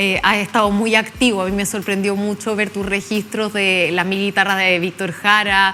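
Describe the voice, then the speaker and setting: A woman's intonation stays monotone and flat, with noticeable background noise in the recording. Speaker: TV interviewer. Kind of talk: interview.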